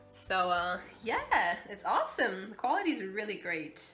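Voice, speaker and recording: A woman speaks at a fairly slow pace over faint background music. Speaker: vlogger. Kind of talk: casual vlog chat. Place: home room. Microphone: phone near.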